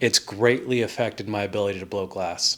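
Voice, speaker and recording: A man with a Californian accent speaks at a fairly low pitch on a very clean recording with a silent background. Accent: Californian American. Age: 30s. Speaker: glass artist. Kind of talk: personal vlog monologue.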